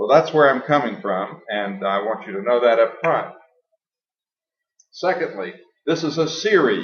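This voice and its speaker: At a moderate pace, a man with a fairly high pitch speaks in very wide pitch swings, leaving long, frequent pauses, with audible room echo. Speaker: science educator, lecturer. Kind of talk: lecture.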